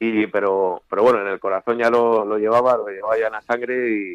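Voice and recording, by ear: A man with a clear, smooth tone and fairly low pitch talks at a fairly quick pace with fairly even intonation, in a dry, close sound with no echo.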